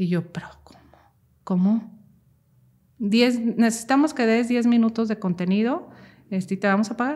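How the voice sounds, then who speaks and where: A woman speaks at a moderate pace with a fairly high, somewhat breathy voice. Her loudness swings widely, and she takes long, frequent pauses. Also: ordinary pitch variation. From Mexico, Jalisco (Cocula). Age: 30s. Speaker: mental health content creator. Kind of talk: personal testimony interview.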